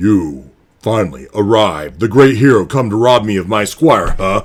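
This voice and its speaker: Putting on a character voice, a man booms and growls in a raspy, fairly low register with lively intonation at a moderate pace. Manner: menacing, booming.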